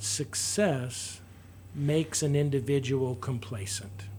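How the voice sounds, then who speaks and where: Somewhat breathy, a man talks at a fairly slow pace. His pitch is medium, with lively intonation. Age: 60s. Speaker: local political candidate. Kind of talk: interview. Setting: radio studio. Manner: halting.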